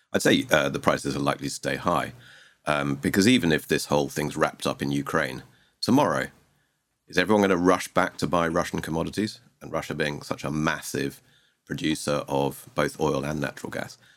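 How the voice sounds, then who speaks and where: The speaker has a southern English accent and vocal fry. The pace is fairly quick, with ordinary pitch variation. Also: man, very deep, low pitch for a man. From Sussex, southeast England. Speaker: investment director. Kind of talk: casual interview. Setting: studio.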